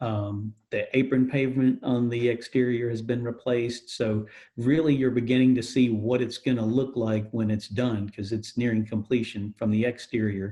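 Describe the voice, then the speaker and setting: A man talks in a medium pitch with a dark, mellow tone and flat, monotone intonation. He keeps a moderate pace with hardly any pauses. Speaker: airport director of strategic marketing and communications, public information officer. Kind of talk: interview answer, corporate spokesperson.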